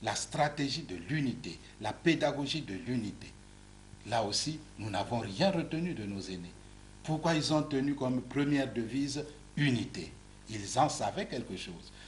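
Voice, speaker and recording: Using lively intonation and vocal fry, a man speaks at a fairly slow pace with medium pitch. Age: 60s. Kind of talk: TV interview. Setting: TV studio. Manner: repetitive stammering on words.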